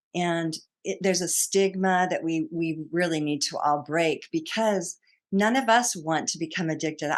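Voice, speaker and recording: An unremarkable speaking voice with an American accent moves at a moderate pace with ordinary pitch variation over a quiet background. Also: woman. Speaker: psychotherapist and author. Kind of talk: podcast interview.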